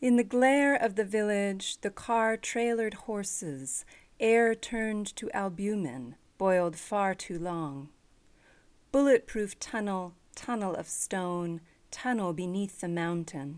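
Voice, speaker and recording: The speech moves at a very slow pace. The recording is very clean, with a silent background. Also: woman, medium pitch for a woman. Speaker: radio host. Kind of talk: poem reading aloud, then brief introduction.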